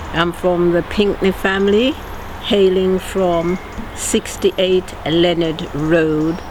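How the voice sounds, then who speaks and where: A woman with a medium pitch at a very slow pace, fairly even intonation, very even loudness, and noticeable background noise. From Birmingham, England. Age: 70s. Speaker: longtime local resident. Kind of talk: documentary interview.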